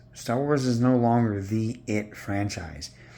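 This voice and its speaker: Amid audible room echo, a man speaks at a fairly slow pace with a dark, mellow tone and ordinary pitch variation. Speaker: online commentator. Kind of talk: casual rant. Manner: sounds weird from tooth pull.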